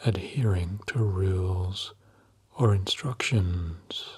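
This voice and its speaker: A soft-spoken, somewhat breathy man with a calm tone, very slow pace, and ordinary pitch variation, in a very clean recording with a silent background. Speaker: hypnotherapist. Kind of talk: sleep hypnosis session. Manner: soft-spoken, calm.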